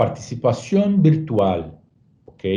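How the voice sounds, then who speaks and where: Somewhat breathy and dark, mellow in tone, the voice moves at a very slow pace. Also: man. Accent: Portuguese. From Brazil. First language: Portuguese (speaking Spanish). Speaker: travel industry presenter. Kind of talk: webinar presentation. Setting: online webinar. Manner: hesitant, frequent fillers.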